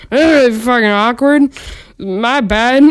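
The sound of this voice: A female-sounding voice is pitched high for a woman. It is a put-on character voice.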